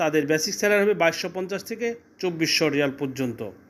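Ordinary pitch variation marks this man's voice, which is high in pitch for a man. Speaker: recruitment agent. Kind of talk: sales pitch. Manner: halting.

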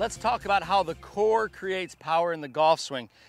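Ordinary pitch variation at a fairly quick pace, with faint music in the background and a dry sound with no echo. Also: man. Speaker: golf instructor. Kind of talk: tutorial. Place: open country. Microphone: lapel.

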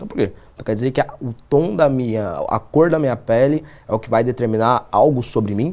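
With a dark, mellow tone and lively intonation, a man speaks at a fairly quick pace. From São Paulo, Brazil (Zona Sul); São Paulo, Brazil. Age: 20s. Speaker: politician. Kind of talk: interview. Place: studio. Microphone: lapel.

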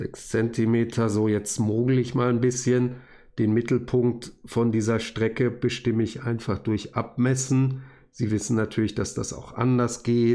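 This man talks at a fairly slow pace in a dark, mellow tone with monotone, flat intonation. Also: medium pitch for a man. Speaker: university lecturer. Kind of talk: tutorial. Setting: recorded video at desk.

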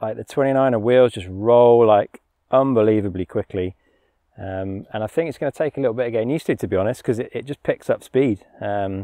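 A man's dark, mellow voice at a fairly quick pace, with ordinary pitch variation, a dry sound with no echo, and a quiet background. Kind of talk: casual bike check walkthrough. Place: forest.

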